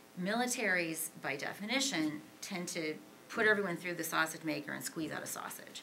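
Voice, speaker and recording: A woman with an American accent and a fairly low pitch speaks at a fairly quick pace with lively intonation, amid audible room echo and noticeable background noise. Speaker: author and Pakistan military expert. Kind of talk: Q&A answer at policy panel. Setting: auditorium with audience. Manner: fast.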